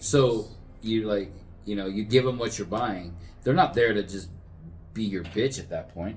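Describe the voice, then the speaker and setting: Somewhat breathy speech in a Californian accent, at a moderate pace with ordinary pitch variation and long, frequent pauses. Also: man, fairly low pitch for a man. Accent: Californian American. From Southern California. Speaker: podcast co-host. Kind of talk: casual chat.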